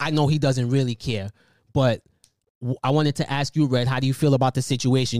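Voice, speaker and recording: A man with an American accent and a normal speaking voice, at a fairly high pitch, fairly quick pace, and fairly even intonation, on a very clean recording with a silent background and a dry, close sound with no echo. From New York. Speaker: podcast host. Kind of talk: casual chat. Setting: living room.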